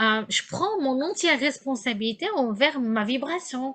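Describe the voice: A woman speaks at a high pitch in a fairly bright tone. Her intonation is lively.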